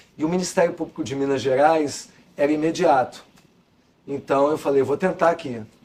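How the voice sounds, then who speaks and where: With fairly even intonation and long, frequent pauses, a man speaks at a moderate pace and a fairly high pitch. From Rio de Janeiro, Brazil (Copacabana). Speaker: law professor and former prosecutor. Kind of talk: interview.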